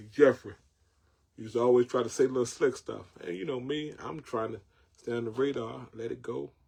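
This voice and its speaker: Somewhat breathy, a man with a Southern US accent speaks at a fairly quick pace in a medium pitch with ordinary pitch variation. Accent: Southern country twang. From North Carolina, Jacksonville. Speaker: online show host. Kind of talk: casual monologue. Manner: repetitive, stammering restarts; animated.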